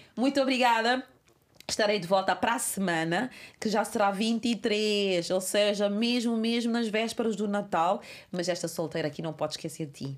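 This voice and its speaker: An animated woman's voice at medium pitch, with ordinary pitch variation, a moderate pace, and a very clean recording over a silent background. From Cape Verde. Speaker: podcast host. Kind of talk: casual chat.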